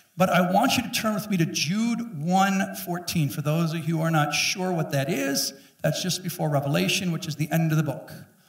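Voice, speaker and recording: In a room with audible echo, a man speaks in a high voice at a moderate pace with hardly any pauses. His pitch varies in an ordinary way. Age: 50s. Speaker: pastor. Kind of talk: sermon. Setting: church. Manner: animated. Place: church. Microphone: headset.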